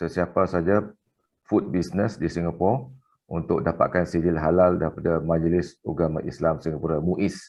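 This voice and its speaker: A man's very deep, low voice holds fairly even intonation. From Singapore. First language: Malay (speaking Indonesian). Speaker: business consultant and invited speaker. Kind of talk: conference talk. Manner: hesitant with fillers.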